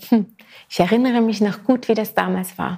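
With an animated tone, a woman talks at a moderate pace and a high pitch, showing ordinary pitch variation. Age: 40s. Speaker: podcast host. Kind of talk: solo podcast monologue.

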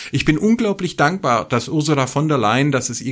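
Speech moves at a fairly quick pace with lively intonation. There is a silent background on a very clean recording. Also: man. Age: 40s. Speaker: religion scholar and podcast co-host. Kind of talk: casual chat. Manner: animated.

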